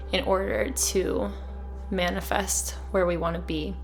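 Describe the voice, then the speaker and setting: Music plays in the background as a soft-spoken woman talks. Her pace is fairly slow and her tone calm. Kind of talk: soft-spoken ASMR-style wellness talk with journaling prompts. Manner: soft-spoken, calm.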